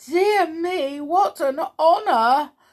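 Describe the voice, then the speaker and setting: Over a quiet background, someone performs a shaky put-on character voice. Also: woman, extremely high pitch for a woman. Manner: nervous, shaky.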